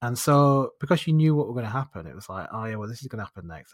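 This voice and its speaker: This man has a northern English accent and a medium pitch. His intonation is lively, on a very clean recording with a silent background. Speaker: podcast host. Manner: chatty, casual storyteller.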